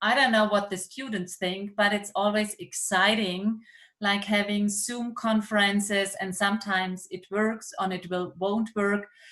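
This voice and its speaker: Bright and sharp in tone, a woman with a German accent and a medium pitch speaks at a fairly slow pace in a monotone, flat intonation. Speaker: university professor. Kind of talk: seminar moderation. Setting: video call.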